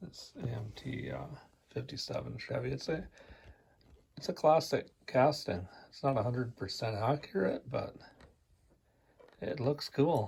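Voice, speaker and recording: Long, frequent pauses break up the fairly slow speech. Vocal fry runs through the voice. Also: man, medium pitch for a man. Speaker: scale model builder. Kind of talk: casual show-and-tell. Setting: home, basement suite, on couch. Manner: quiet, restrained volume.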